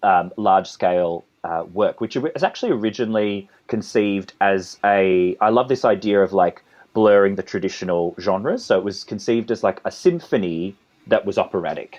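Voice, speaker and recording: A man with an Australian accent speaks at a fairly low pitch. His pace is moderate, and his pitch varies in an ordinary way. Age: 30s. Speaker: composer and conductor. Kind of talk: interview. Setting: podcast interview. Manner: halting, with many repetitions.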